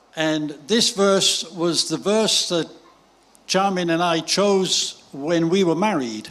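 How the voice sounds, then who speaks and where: With a British accent and a high pitch, a man speaks at a very slow pace with ordinary pitch variation against noticeable background noise. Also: very even loudness. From Great Britain. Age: 80s+. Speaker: visiting preacher. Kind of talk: sermon with interpreter. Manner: short phrases paused for interpretation.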